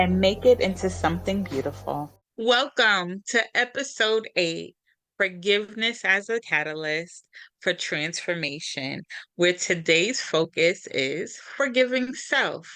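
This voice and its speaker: A woman's medium-pitched voice, bright and sharp in tone with vocal fry and very wide pitch swings, at a fairly slow pace on a very clean recording with a silent background. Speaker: podcast co-host and coach. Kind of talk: podcast conversation on healing. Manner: reserved.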